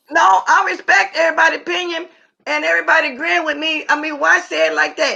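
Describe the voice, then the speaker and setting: A woman with an American accent projects a raised voice at a high pitch with a bright, sharp tone. Her pitch swings very widely at a moderate pace. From Louisiana and Missouri. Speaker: livestream host. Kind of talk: casual live chat. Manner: loud.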